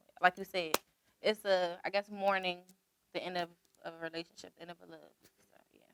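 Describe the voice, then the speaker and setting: In a dry, close sound with no echo, a woman with an American accent talks fairly quickly at a medium pitch, her flat, monotone intonation broken by long, frequent pauses and big swings in loudness. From Washington DC, Southeast. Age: 20s. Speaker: rapper. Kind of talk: interview.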